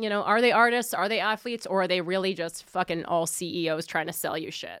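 Speaking very fast with lively intonation, a woman with an American accent comes through on a very clean recording with a silent background. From Philadelphia area, US. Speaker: comedian and podcast host. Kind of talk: casual news commentary. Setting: studio.

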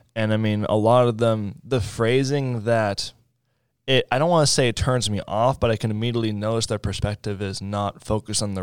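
Over a silent background in a very clean recording, a man uses an ordinary speaking voice with ordinary pitch variation. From Raleigh, North Carolina. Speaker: social media marketer. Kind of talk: casual interview. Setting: studio.

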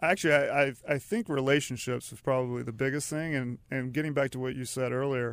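In an ordinary speaking voice, a man talks at a fairly quick pace with medium pitch and ordinary pitch variation, on a very clean recording with a silent background. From US South, Charlotte, North Carolina. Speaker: lawyer and business founder. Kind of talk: interview.

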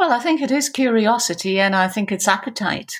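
A woman with a Geordie accent. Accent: Geordie, north-east English. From Newcastle, north-east England. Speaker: business executive. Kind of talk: interview conversation.

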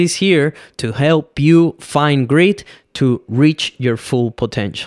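A man with a Venezuelan accent speaks at a fairly high pitch and a fairly slow pace, with ordinary pitch variation and long, frequent pauses. The recording is very clean, with a silent background and a dry, close sound with no echo. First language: Spanish. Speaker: podcast host and filmmaker. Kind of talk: solo podcast monologue. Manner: casual, conversational.

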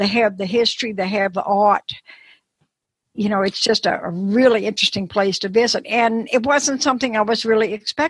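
A woman's somewhat breathy voice, fairly high in pitch, at a fairly quick pace with ordinary pitch variation in a dry, close sound with no echo. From New Orleans. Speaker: travel writer. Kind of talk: interview.

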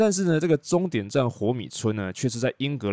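This is a man with a Taiwanese accent. He speaks at a fairly quick pace. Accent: Taiwanese Mandarin. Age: middle-aged. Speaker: podcast host and tour leader. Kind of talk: casual monologue.

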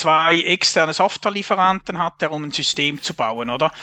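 A man with a Swiss accent, high-pitched, bright and sharp in tone, at a moderate pace, in a dry, close sound with no echo and a quiet background. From Switzerland. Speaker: software architecture consultant. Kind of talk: casual interview.

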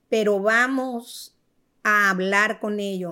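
A woman's medium-pitched voice at a very slow pace, fairly even in intonation, with music in the background. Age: 70s. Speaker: host's mother. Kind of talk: casual chat.

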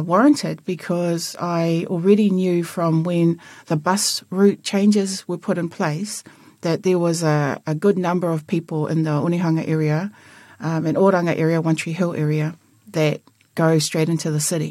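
On a very clean recording with a silent background, a woman with a New Zealand accent speaks at a moderate pace in a fairly low pitch, with fairly even intonation and a dark, mellow tone. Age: 50s. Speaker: local politician. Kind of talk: interview.

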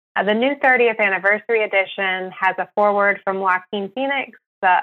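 Here is a woman with an ordinary speaking voice. She speaks at medium pitch and a moderate pace, with ordinary pitch variation. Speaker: research scientist at an animal rights group. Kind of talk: interview.

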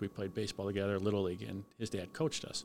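A man with a Chicago accent speaks in a fairly low pitch. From Cicero, Illinois (Chicago area). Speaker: fire lieutenant. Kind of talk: casual interview storytelling.

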